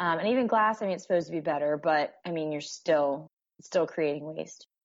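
A woman with an American accent has an ordinary speaking voice. Her pitch is fairly low, with ordinary variation. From northern US. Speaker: guest, nursing student. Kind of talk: casual interview chat.

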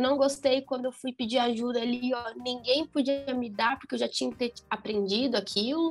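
Her high-pitched voice moves at a moderate pace with hardly any pauses and fairly even intonation as the woman speaks. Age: 20s. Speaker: physics teacher. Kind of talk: casual chat.

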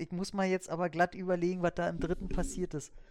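This man talks with a high-pitched voice. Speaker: film podcaster. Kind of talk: casual chat.

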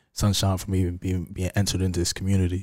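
In a New York accent, a man speaks with a very deep, low pitch, a dark, mellow tone and monotone, flat intonation on a very clean recording with a silent background. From New York, Harlem. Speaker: poet and filmmaker. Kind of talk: casual chat.

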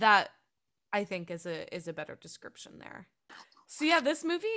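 Bright and sharp in tone, a woman's fairly high voice sounds animated and moves through very wide pitch swings on a very clean recording with a silent background. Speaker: podcast co-host. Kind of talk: casual chat.

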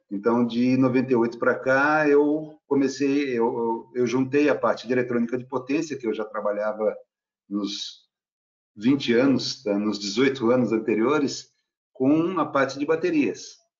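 In a normal speaking voice, a man talks at a fairly slow pace. His medium pitch has ordinary variation. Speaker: research engineer. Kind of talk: casual panel discussion.

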